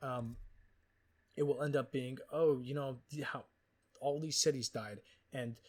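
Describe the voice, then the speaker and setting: A somewhat breathy voice speaking at a moderate pace. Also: man. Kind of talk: casual unedited book review. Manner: rambling, profane, hesitant.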